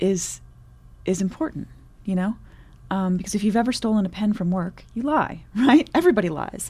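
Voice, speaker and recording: With an American accent, a woman speaks fairly quickly in a somewhat breathy, dark, mellow tone at medium pitch with ordinary pitch variation. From Michigan, US Midwest. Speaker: poet. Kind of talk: interview; poetry reading.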